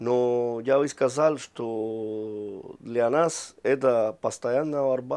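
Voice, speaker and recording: A man speaks very slowly in a Spanish accent with hardly any pauses. His intonation is fairly even. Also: medium pitch for a man. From Cuba. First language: Spanish (speaking Russian). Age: 40s. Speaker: ambassador; interviewee. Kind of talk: interview; interview answer. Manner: halting, many hesitations. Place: office. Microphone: lapel.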